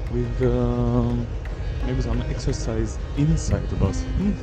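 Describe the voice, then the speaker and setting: Over clear background music, a man speaks at a very slow pace in a dry sound with no echo. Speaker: travel vlogger. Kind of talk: casual vlog chat. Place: waterside. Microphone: phone near.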